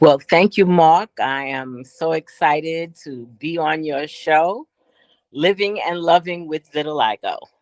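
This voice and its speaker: A woman with a New York accent talks at a fairly slow pace, her pitch very deep and low with ordinary variation. Her loudness swings widely, and the sound is dry and close with no echo. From New York City, the Bronx. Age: 60s. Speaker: interview guest living with vitiligo. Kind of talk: casual interview.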